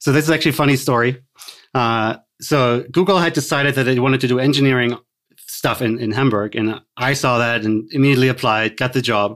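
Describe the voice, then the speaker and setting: A man with a German accent, medium pitch and ordinary pitch variation, at a very fast pace with very even loudness, on a very clean recording with a silent background. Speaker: tech executive. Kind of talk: interview.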